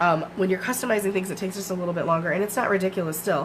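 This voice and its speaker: Over noticeable background noise, a woman with an American accent talks at a very fast pace, a medium pitch and fairly even intonation. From Michigan, US. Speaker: craft demonstrator. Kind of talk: live craft tutorial. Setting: home basement livestream. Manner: casual, filler-heavy.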